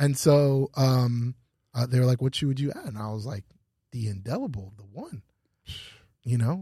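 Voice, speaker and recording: A man's somewhat breathy voice with a dark, mellow tone, medium pitch and ordinary pitch variation, at a moderate pace with long, frequent pauses, in a dry, close sound with no echo and a very clean, silent background. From Canada (Ottawa). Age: 40s. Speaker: fashion store owner. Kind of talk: casual interview chat.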